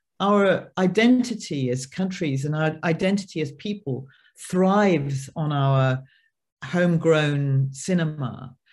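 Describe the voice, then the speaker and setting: A woman with a British accent speaks at a very slow pace in a very deep, low pitch, her intonation lively. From United Kingdom. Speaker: film producer. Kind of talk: panel discussion. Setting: online video panel.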